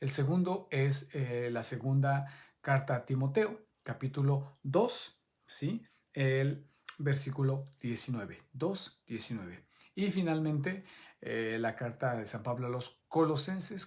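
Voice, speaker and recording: Somewhat breathy and fairly high in pitch, a man speaks very slowly with lively intonation. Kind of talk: Bible study teaching. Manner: halting.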